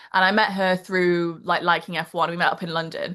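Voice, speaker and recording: A woman speaks with a medium pitch. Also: quiet background. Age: 20s. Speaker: F1 fan and fashion content creator. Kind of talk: casual chat. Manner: animated, filler-heavy casual talk.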